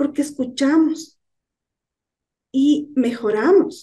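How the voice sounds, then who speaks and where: A woman speaks softly at a high pitch. Her tone is dark and mellow. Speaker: lay church teacher. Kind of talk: sermon. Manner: soft-spoken.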